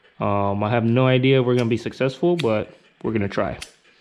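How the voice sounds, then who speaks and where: A moderate pace against noticeable background noise. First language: not English. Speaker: DIY vehicle YouTuber. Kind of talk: tutorial. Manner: casual, many fillers.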